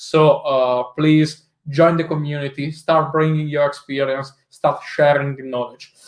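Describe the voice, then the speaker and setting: Here a man speaks with an Italian accent. His pace is fairly slow. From Italy. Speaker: tech executive and conference speaker. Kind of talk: tech talk presentation. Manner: hesitant, many filler uhs.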